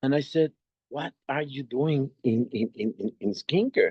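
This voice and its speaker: A man with a Mexican accent, at a moderate pace and with lively intonation. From Mexico. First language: Spanish. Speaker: network marketing entrepreneur. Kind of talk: video call presentation. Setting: video call. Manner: halting, many repetitions.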